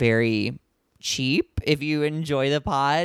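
In a dry, close sound with no echo and a silent background, a man speaks with an American accent at a fairly high pitch. It's an ordinary speaking voice with ordinary pitch variation, on a very clean recording. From US Midwest, St. Louis Missouri. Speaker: podcast host and comedian. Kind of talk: casual chat; podcast intro monologue.

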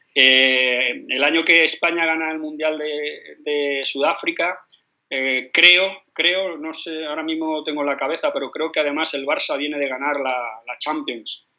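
A man talks at a fairly slow pace in a bright, sharp tone with fairly even intonation. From Spain, Madrid. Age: 50s. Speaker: football coach. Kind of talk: interview. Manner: halting, with many repetitions.

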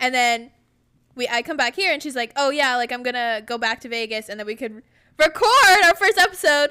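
A woman with an American accent projects a raised voice at a fairly quick pace, high in pitch, with a bright, sharp tone and lively intonation. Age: 20s. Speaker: podcast co-host, former college golfer. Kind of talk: casual chat.

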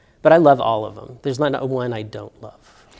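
A man's medium-pitched voice with a Southern US accent, on a very clean recording with a silent background. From Alabama, Birmingham. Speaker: art professor. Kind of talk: interview.

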